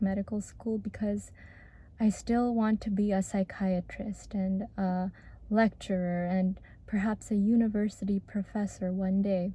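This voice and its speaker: Soft-spoken and somewhat breathy, a woman talks at a moderate pace in a flat monotone with medium pitch and a dark, mellow tone, captured in a very clean recording with a silent background. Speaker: former medical student. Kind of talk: reflective talk to camera.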